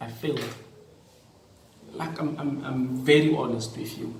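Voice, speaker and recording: Speech from a man, with audible echo in the room and noticeable noise behind it. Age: young. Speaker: teacher and vlogger. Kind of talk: personal vlog talk. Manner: repetitive, hesitant.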